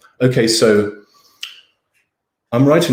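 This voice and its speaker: This man speaks with an English accent. His pitch is medium. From England. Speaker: professor and writer. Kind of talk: lecture Q&A. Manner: animated, casual.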